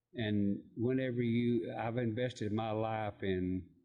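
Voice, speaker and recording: A man speaks in a Tennessee accent. His pitch is medium, with ordinary pitch variation. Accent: Southern US (Tennessee). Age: 60s. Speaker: barbershop owner. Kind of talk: casual interview.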